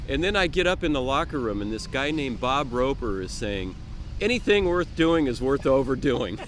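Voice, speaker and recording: This man's pitch sits fairly high, and his intonation is lively at a moderate pace. Room echo can be heard around him. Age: 60s. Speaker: open water swimmer, club member. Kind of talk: interview. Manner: halting, repeats words.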